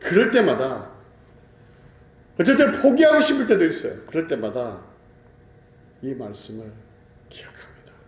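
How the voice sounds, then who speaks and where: Speaking with a Gyeongsang accent at a moderate pace, a man shows big swings in loudness and long, frequent pauses. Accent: Gyeongsang dialect pronunciation. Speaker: pastor. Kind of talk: sermon.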